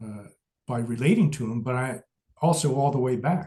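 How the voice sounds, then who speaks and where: In an American accent, a man speaks at a moderate pace and a medium pitch. His tone is dark and mellow, and somewhat breathy. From US Midwest. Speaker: Buddhist teacher. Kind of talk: lecture.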